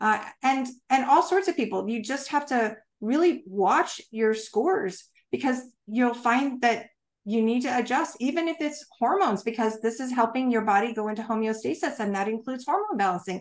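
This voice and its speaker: At a moderate pace, a woman with an American accent speaks in a high pitch with lively intonation. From United States. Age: 50s. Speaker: health technology consultant and retired navy officer. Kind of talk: interview. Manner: animated. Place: home room. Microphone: webcam.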